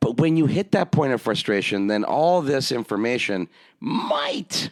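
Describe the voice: A man with a medium pitch talks at a fairly slow pace, his pitch swinging very widely.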